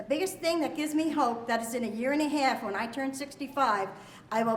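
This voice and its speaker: With an American accent, a woman talks at a very fast pace in a high voice. Her pitch varies in an ordinary way, and there is audible room echo. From Pennsylvania, Allentown. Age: 60s. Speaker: retired garment worker. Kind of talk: testimony.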